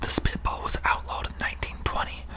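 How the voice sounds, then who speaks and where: Whispering at a moderate pace in a calm tone, the speaker comes through over noticeable background noise. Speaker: ASMR content creator. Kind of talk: ASMR whispered fact-reading for sleep. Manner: whispered, calm, relaxing.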